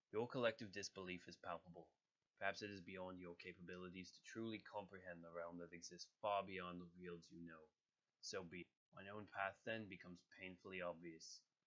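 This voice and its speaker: Putting on a character voice, a man rumbles in a very deep, low pitch at a fairly quick pace. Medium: voice reel. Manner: very serious, grumbling, formal.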